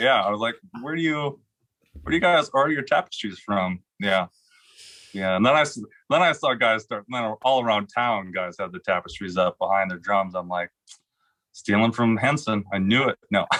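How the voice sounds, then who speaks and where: A man speaks at a medium pitch with lively intonation and a moderate pace. He leaves long, frequent pauses against a quiet background. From Wisconsin, Green Bay; Wisconsin. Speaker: drummer. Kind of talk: casual chat. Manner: animated. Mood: amused, laughing. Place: studio. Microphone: studio mic.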